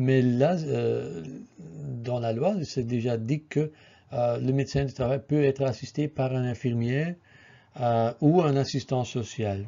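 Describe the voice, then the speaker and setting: Very slowly, a man with a non-native accent speaks at a medium pitch. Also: ordinary pitch variation. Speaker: occupational health physician. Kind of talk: presentation. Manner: halting, many filler sounds.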